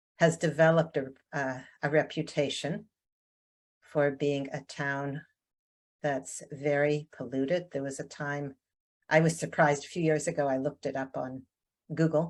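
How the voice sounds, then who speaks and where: A woman with a Canadian accent speaks fairly slowly in a very deep, low pitch, her intonation monotone and flat. Her long pauses come often, and the recording is very clean with a silent background. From Canada, Ontario. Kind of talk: interview. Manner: hesitant, many fillers.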